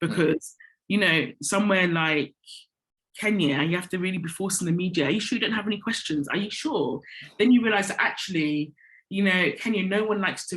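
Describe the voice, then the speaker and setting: Speaking fairly quickly with an English accent, a woman uses a fairly low pitch and ordinary pitch variation. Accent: very English. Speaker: corporate communications director. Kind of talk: interview. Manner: conversational, many fillers.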